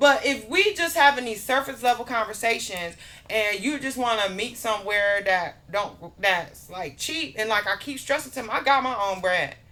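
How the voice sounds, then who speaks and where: Animated and bright with a sharp tone, a woman speaks at a fairly high pitch with lively intonation. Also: moderate pace, hardly any pauses. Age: 40s. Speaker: podcast guest. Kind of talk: casual chat.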